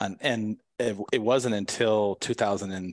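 Against a quiet background, a man with an American accent speaks with fairly even intonation, the sound dry and close with no echo. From San Diego, California. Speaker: photographer and business consultant. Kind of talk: interview.

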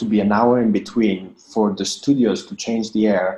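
Speaking with an Italian accent, a man uses a medium pitch and a dark, mellow tone. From Italy. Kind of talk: interview. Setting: remote call from home.

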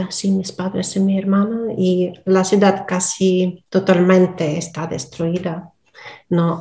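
Noticeable background noise runs behind the recording. A woman speaks at a very slow pace. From Donetsk, eastern Ukraine. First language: Russian (speaking Spanish). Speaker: Spanish learner, philologist. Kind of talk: interview. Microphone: poor sound at times.

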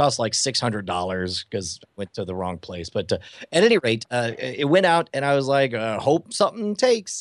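Over a quiet background, a man with an American accent speaks at medium pitch and a moderate pace, his pitch swinging very widely. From Texas (Houston, West Texas). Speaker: magician and comedian. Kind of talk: interview.

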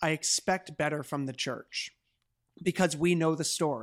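With an ordinary speaking voice, a man talks at a moderate pace in a fairly high pitch, on a very clean recording with a silent background. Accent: Canadian. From Canada, Hamilton, Ontario. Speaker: pastor and author. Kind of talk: interview conversation.

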